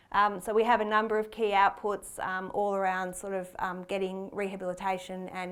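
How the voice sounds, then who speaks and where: Audible room echo surrounds a woman with an Australian accent who speaks at a medium pitch and a fairly quick pace. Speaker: cardiac arrest researcher. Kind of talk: conference presentation. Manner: fast; hesitant, many fillers.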